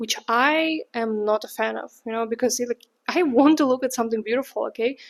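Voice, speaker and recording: A woman's high voice in a Russian accent. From Russia, St. Petersburg. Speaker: vlogger. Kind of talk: casual vlog monologue. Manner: chatty, many fillers.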